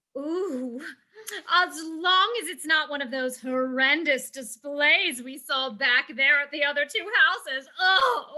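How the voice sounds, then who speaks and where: The put-on character voice is high-pitched and moves at a fairly slow pace. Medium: stage play. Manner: gushing, breathy exclamations.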